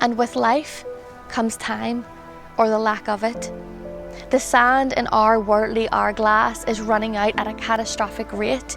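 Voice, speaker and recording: Music plays behind a woman who speaks at a fairly slow pace in a fairly high pitch with fairly even intonation. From Belfast, Northern Ireland. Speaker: poet. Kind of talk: poetry reading.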